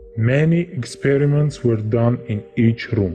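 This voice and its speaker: With music playing behind him, a man speaks very slowly at a medium pitch with lively intonation. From Estonia. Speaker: self-proclaimed time traveler. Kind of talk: interview testimony. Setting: undisclosed location.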